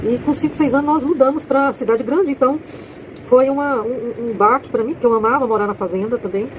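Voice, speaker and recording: A high-pitched woman speaks at a fairly quick pace with ordinary pitch variation, noticeable background noise audible. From Brazil, rural farm upbringing. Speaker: author and content creator. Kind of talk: casual monologue promoting her book. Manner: halting, with false starts.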